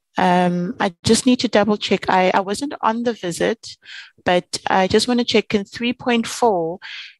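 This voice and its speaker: A woman with a plain, everyday voice speaks at a fairly slow pace and medium pitch, with ordinary pitch variation and a dry, close sound with no echo. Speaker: committee member, MP. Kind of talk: formal parliamentary committee meeting.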